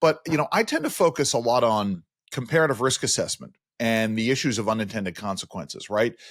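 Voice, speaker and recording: A man speaks at a fairly quick pace in a New York accent, his pitch medium and his intonation lively. The recording is very clean, with a silent background. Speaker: podcast host. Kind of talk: interview.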